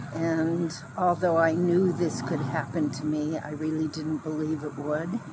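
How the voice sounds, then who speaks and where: Speech goes at a very slow pace while noticeable background noise is heard. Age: 60s. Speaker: homeless camp resident. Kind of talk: testimony.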